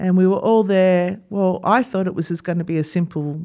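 A woman with an Australian accent talks at a fairly quick pace in a dark, mellow tone. Her intonation is fairly even, and the recording is very clean with a silent background. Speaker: podcast host, former dentist. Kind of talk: solo podcast monologue.

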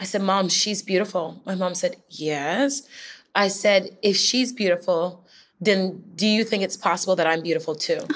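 In a very clean recording with a silent background, a woman speaks at a moderate pace in a normal speaking voice, medium in pitch with ordinary pitch variation. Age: 30s. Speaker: fitness instructor and makeup artist. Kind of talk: interview.

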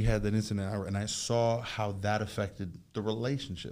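Audible room echo surrounds a man speaking at a moderate pace with a fairly low pitch and fairly even intonation. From Jamaica. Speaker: youth outreach worker. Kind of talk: casual chat.

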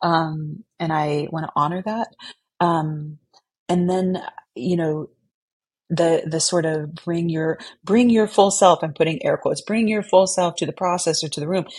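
Somewhat breathy and fairly low in pitch, a woman speaks at a fairly slow pace with ordinary pitch variation. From Texas (San Antonio). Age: 40s. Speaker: theatre director and foundation program officer. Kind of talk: interview conversation. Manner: hesitant, many fillers.

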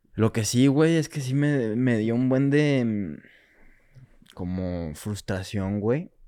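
With a Mexican accent, a man speaks very slowly in a dark, mellow tone, his intonation lively. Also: medium pitch for a man. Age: 20s. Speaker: film student. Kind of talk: casual chat.

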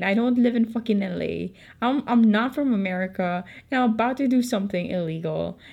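An animated woman with a Filipino accent, at a moderate pace and with ordinary pitch variation. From Philippines. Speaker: podcaster. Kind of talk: casual storytelling.

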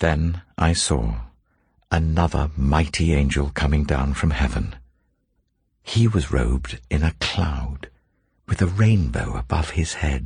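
The speech moves at a very slow pace with long, frequent pauses and vocal fry. Loudness stays very even, and pitch varies in an ordinary way. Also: man, very deep, low pitch for a man. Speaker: scripture reader. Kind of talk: scripture reading, steady and solemn. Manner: even, measured, reverent.

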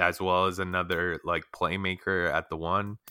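Over a silent background in a very clean recording, a man with a very deep, low pitch and a bright, sharp tone speaks at a fairly slow pace. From Canada. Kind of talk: casual sports chat.

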